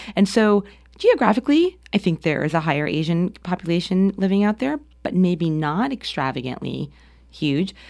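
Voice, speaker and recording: A woman with an American accent and an unremarkable speaking voice talks at a moderate pace at medium pitch with lively intonation. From US Northeast, New Jersey. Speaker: arts administrator. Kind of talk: interview. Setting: studio.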